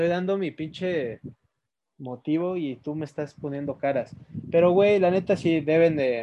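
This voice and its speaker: This man talks at a fairly slow pace. His fairly high pitch shows ordinary variation. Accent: Mexican. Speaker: podcast co-host. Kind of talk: casual chat.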